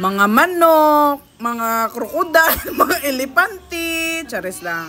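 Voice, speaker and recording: Over noticeable background noise, a woman uses a raised, projected, high-pitched voice with an upbeat tone, very wide pitch swings and a very slow pace. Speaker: vlogger. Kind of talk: casual vlog narration to camera.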